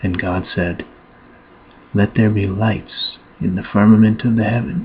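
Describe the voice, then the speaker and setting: Soft-spoken and gentle in tone, a man talks very slowly in a monotone, flat intonation against noticeable background noise. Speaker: Bible reader, ASMR channel host. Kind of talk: gentle Bible reading, ASMR relaxation. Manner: gentle, soft-spoken, slow.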